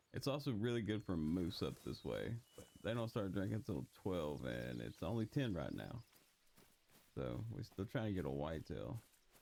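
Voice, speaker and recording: In an American accent, a man with a very deep, low pitch talks at a moderate pace in a relaxed tone, his dark, mellow voice carrying vocal fry and very wide pitch swings. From Texas. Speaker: gaming YouTuber. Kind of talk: casual gameplay commentary. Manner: relaxed, casual.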